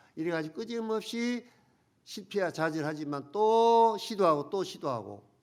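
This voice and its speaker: A man's high voice carries lively intonation, delivered at a moderate pace. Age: 70s. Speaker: pastor. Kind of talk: sermon.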